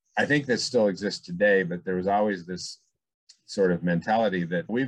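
At a moderate pace, a man speaks in a fairly low pitch with an unremarkable speaking voice. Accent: American. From California, Bay Area. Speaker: bowling center owner. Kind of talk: interview.

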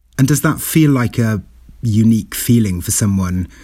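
The voice is a man's, dark and mellow. There is some breathiness to it. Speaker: interviewer, radio host. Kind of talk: interview, formal intro narration.

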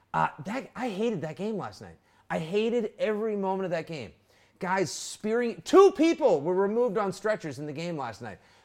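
An animated man with a high pitch, lively intonation, big swings in loudness and a moderate pace. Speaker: podcast host. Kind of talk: casual sports chat. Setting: live stream. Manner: animated, jokey.

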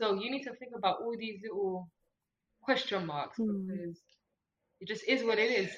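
A woman with a plain, everyday voice speaks at medium pitch. She moves at a fairly quick pace with ordinary pitch variation. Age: 20s. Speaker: business owner and podcast guest. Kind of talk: casual chat.

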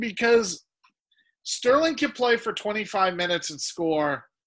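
A man with an American accent, high-pitched, with very wide pitch swings, a raised, projected voice, a bright, sharp tone and a very slow pace, on a very clean recording with a silent background. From United States. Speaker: podcast host. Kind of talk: casual banter about fantasy football.

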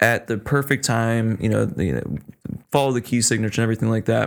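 This man has an ordinary speaking voice at a medium pitch, talking at a fairly quick pace on a very clean recording with a silent background. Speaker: podcast guest. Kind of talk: casual chat.

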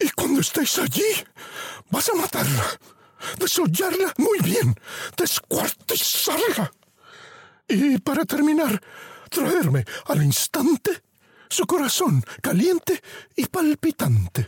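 A man speaks in a put-on character voice, pitched extremely high. His pace is fairly slow, with long pauses coming often. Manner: furious, menacing.

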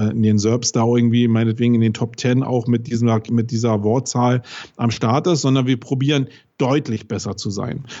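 A man talks at a medium pitch and a moderate pace. He has a plain, everyday voice. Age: 40s. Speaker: SEO agency owner. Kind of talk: podcast interview.

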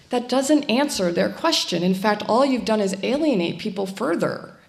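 Noticeable background noise sits behind a woman of medium pitch who speaks at a fairly quick pace with lively intonation. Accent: American. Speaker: refugee resettlement worker. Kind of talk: panel discussion. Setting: stage with audience.

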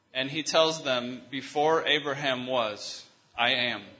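A man with a fairly high pitch speaks in fairly even intonation, with audible room echo. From US Midwest, Michigan. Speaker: visiting preacher. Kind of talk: sermon with consecutive interpretation.

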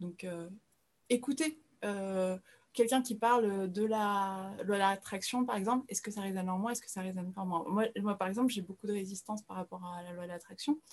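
Somewhat breathy and at a fairly quick pace, a woman speaks at medium pitch with ordinary pitch variation and big swings in loudness. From France. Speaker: spiritual guide. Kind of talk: interview podcast. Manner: hesitant, with many fillers and repetitions.

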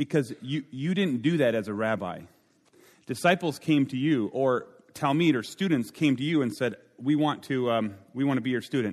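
Lively intonation marks this man's speech in an Upper Midwest accent. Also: medium pitch for a man, moderate pace. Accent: Upper Midwest American. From Minnesota. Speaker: pastor and speaker. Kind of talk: sermon. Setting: stage with audience. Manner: animated.

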